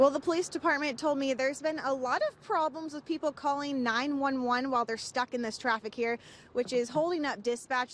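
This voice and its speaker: A high-pitched woman's voice at a fairly quick pace, with fairly even intonation and noticeable background noise. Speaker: TV news reporter. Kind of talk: live TV news field report.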